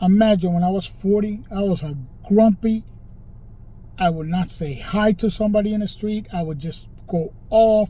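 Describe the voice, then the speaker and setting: With a dark, mellow tone and a high pitch, a man speaks at a moderate pace with ordinary pitch variation. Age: 60s. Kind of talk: casual monologue to camera. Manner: informal, repetitive with fillers.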